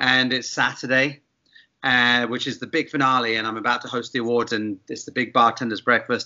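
Speaking fairly quickly, a man keeps a medium pitch and fairly even intonation. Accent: southern English. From England, Bath. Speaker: gin company founder, former bartender. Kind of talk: casual interview.

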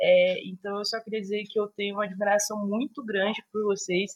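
Somewhat breathy and medium in pitch, a woman speaks at a fairly quick pace, recorded with a dry, close sound with no echo. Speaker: podcast host. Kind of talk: casual chat.

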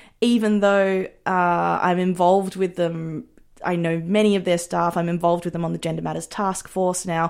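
Monotone, flat intonation in an Australian accent at a moderate pace, on a very clean recording with a silent background. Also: woman, fairly low pitch for a woman. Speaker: filmmaker. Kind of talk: interview.

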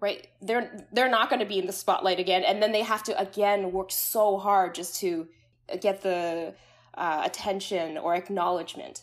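Using a plain, everyday voice, a woman with a medium pitch talks at a moderate pace with fairly even intonation. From Canada. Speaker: psychologist. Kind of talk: interview conversation.

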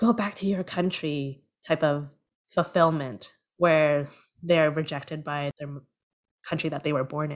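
With a Canadian accent, a woman speaks at a very deep, low pitch and fairly even intonation. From Canada, Toronto. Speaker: producer and screenwriter. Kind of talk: interview.

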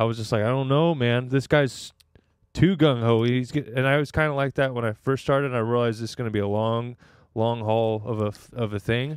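A man with an American accent talks at a fairly quick pace. His pitch is medium, with fairly even intonation. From Northern California. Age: 20s. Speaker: stand-up comedian. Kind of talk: casual chat. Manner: laid-back.

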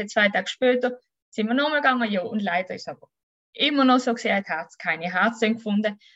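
A woman with a Swiss accent speaks very fast at a fairly high pitch with lively intonation. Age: 30s. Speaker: mother telling her birth story. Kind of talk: testimony.

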